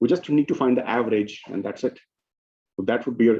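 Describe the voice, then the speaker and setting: A man speaks at a fairly quick pace in a medium pitch. His tone is dark and mellow, with ordinary pitch variation. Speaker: lecturer. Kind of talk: lecture.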